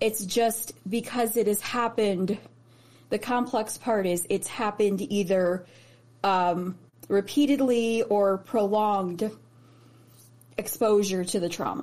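The speaker talks fairly slowly with a Midwestern American accent, pausing long and often. Pitch varies in an ordinary way. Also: woman, medium pitch for a woman. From US Midwest (Chicago/Indiana). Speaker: guest sharing mental health story. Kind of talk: testimony.

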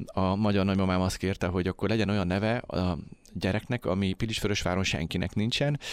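A man at a very fast pace, with fairly low pitch, ordinary pitch variation and very even loudness, on a very clean recording with a silent background. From Hungary, Tisza region. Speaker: independent filmmaker. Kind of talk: radio interview. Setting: studio.

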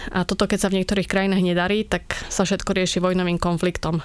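In a fairly low pitch, a woman talks with monotone, flat intonation. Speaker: humanitarian worker, NGO director. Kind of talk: interview.

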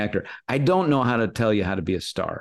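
A plain, everyday voice in an American accent, with lively intonation over a quiet background. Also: man. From US, Los Angeles area. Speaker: actor and impressionist. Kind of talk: interview chat.

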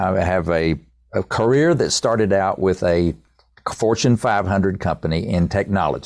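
In an Appalachian accent, a man with a very deep, low voice talks at a moderate pace with ordinary pitch variation. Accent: Southern US (Appalachian). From East Tennessee. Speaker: songwriter and business executive. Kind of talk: interview.

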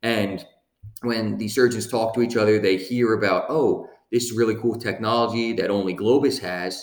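An ordinary speaking voice from a man, medium in pitch, fairly even in intonation, at a moderate pace. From US Northeast (Lancaster, Pennsylvania). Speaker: legal operations director, former medical device sales rep. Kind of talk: casual podcast interview.

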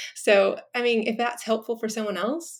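Intonation stays fairly even at a moderate pace. It is a very clean recording with a silent background. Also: woman. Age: 40s. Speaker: teacher and writer. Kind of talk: interview conversation.

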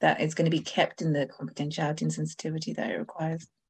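A woman with a very deep, low pitch and vocal fry. She talks at a very fast pace with ordinary pitch variation. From Zimbabwe. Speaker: blogger and podcaster, fertility patient. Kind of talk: interview testimony. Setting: video call.

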